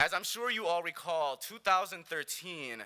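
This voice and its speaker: Using a Spanish accent, a man speaks at a moderate pace in a high pitch with a bright, sharp tone and very wide pitch swings. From New York City, the Bronx. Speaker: conference plenary speaker. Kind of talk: speech.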